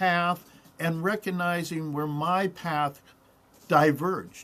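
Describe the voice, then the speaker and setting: A man speaks at a high pitch. His pace is very slow. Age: 70s. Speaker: coin dealer, company CEO. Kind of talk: casual interview chat. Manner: halting, with repeated words.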